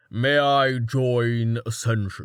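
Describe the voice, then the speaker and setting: A man at medium pitch talks in a put-on character voice. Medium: read story. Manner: blunt, curt.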